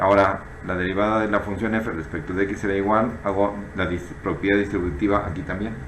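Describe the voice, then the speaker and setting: A man with a fairly low pitch is heard with audible room echo and noticeable background noise. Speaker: math teacher. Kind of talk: tutorial.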